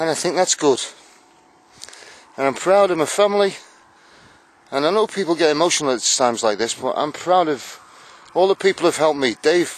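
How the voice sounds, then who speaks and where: A man with a fairly high pitch and lively intonation speaks at a fairly quick pace with long, frequent pauses over noticeable background noise. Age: 60s. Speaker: army veteran on charity bike ride. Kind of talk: video diary. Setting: outdoors. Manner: halting.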